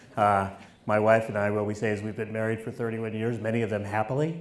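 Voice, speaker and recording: Noticeable background noise and audible room echo accompany a man with a fairly low pitch. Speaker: professor. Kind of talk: keynote speech. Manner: halting with fillers.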